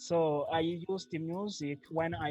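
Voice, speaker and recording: A man talks at a very slow pace in a Rwandan accent, with ordinary pitch variation. Music plays in the background. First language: Kinyarwanda. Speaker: polyglot language learner. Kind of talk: interview. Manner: halting, many fillers.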